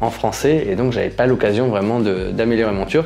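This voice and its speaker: Noticeable background noise sits under the voice. The pace is moderate, with ordinary pitch variation. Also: man. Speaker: YouTuber living abroad. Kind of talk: casual Q&A vlog. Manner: hesitant, many fillers.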